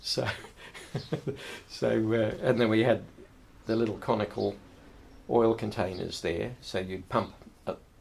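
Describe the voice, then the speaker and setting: Pausing long and often, a man with a fairly low pitch and vocal fry talks at a fairly slow pace with ordinary pitch variation. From Herefordshire, England. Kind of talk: oral history interview answer. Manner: casual, reminiscing.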